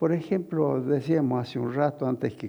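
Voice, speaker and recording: The man's voice has a dark, mellow tone and shows vocal fry. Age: 80s+. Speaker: veteran politician. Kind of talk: interview.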